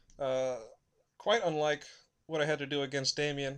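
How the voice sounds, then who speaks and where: A fairly high-pitched male voice. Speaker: gaming commentator. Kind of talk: gameplay commentary. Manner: fast.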